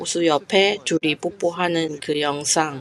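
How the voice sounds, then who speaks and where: A woman's very deep, low voice with a non-native accent, at a very slow pace amid noticeable background noise. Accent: foreign accent in Korean, non-native. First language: not Korean (speaking Korean). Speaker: YouTuber commenting on Korea news. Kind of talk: video commentary. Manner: halting, with fillers.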